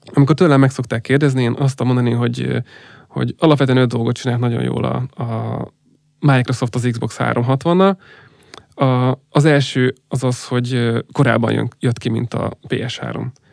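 A man with an unremarkable speaking voice talks at a fairly slow pace in a medium pitch. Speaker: gaming industry executive. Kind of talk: interview.

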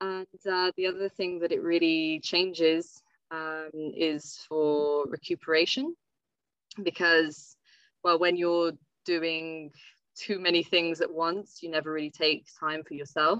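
At a fairly slow pace, a woman speaks with a fairly low pitch and monotone, flat intonation. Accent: English. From France (Savoie, Alps), English parents. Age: 20s. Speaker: ski mountaineering athlete. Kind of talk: podcast interview.

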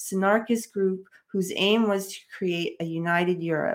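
Here a woman talks in a New York accent at medium pitch. Her intonation is fairly even, and her pace is moderate. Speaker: podcast co-host. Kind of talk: casual chat.

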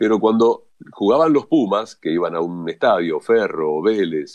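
A man speaks with a Rioplatense accent in a dry, close sound with no echo. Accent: Argentine Rioplatense Spanish. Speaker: radio announcer and sports journalist. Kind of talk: interview. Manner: natural, unaffected delivery.

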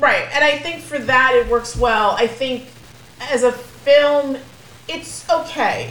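A high-pitched woman at a very slow pace, fairly even in intonation, over noticeable background noise. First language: Spanish. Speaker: podcast co-host, movie reviewer. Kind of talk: casual chat.

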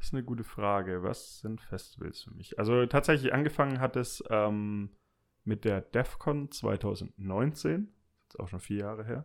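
An unremarkable speaking voice from a man, medium in pitch, with ordinary pitch variation, a moderate pace, and big swings in loudness. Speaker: former classmate, office professional. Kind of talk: casual chat.

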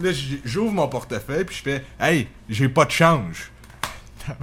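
With a Quebec accent, a man of fairly high pitch speaks slowly-ish, at a fairly slow pace, with lively intonation. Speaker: podcast co-host. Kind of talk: casual chat.

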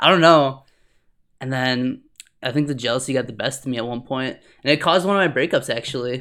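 A man speaks loudly and very fast in an animated, bright, sharp tone. His pitch varies in an ordinary way, broken by long, frequent pauses. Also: medium pitch for a man. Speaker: podcast host. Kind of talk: casual chat. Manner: animated, laughs often.

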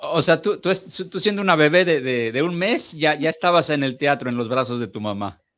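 Fairly quick and lively in intonation, a man with a Mexican accent speaks in a bright, sharp tone at a fairly high pitch. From Mexico. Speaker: podcast host. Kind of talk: interview. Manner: halting.

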